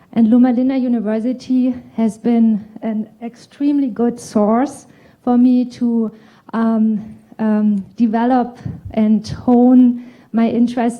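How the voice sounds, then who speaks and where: Flat, monotone delivery from a woman at a fairly slow pace. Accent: German. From Germany. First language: German. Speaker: urologist. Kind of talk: conference presentation.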